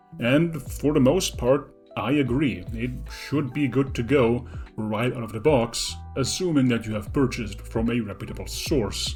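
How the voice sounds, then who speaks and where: Music behind a man speaking at a moderate pace. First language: not English. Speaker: 3D printing hobbyist. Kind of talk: tutorial narration.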